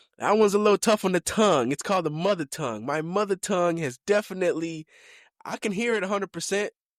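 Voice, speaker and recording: This man has a high pitch, an American accent and ordinary pitch variation. His voice sounds dry and close with no echo. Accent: American accent, deliberately acquired. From Kenya (born Mombasa, family from Limuru). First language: Kikuyu (also speaks Swahili). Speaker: podcast host. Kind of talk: casual chat. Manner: casual, with many fillers and restarts.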